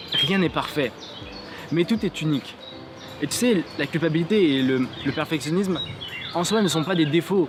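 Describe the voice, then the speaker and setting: With noticeable background noise behind him, a man speaks at a fairly high pitch with ordinary pitch variation and long, frequent pauses. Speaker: motivational YouTuber. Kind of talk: motivational vlog talk to camera. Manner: fast.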